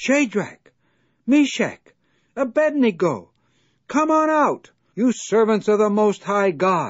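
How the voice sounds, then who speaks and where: A man puts on a high-pitched character voice with lively intonation and very even loudness. He goes at a fairly slow pace, with long, frequent pauses. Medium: read story. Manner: commanding.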